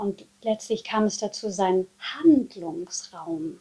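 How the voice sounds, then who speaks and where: A woman with a dark, mellow tone speaks at a medium pitch and a very slow pace, her intonation lively. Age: 40s. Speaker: dance and movement therapist. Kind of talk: casual chat.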